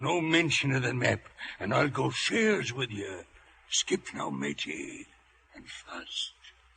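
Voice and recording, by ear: Using a put-on character voice, a man speaks at a slow pace in a bright, sharp tone with a slightly husky edge, vocal fry and big pitch swings. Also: medium pitch for a man.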